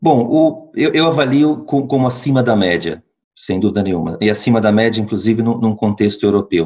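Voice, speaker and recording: Lively intonation marks this man's medium-pitched voice, delivered at a moderate pace. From Brazil, interior of São Paulo state. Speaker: healthcare company executive. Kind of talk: interview. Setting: remote call. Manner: halting, many fillers and repetitions.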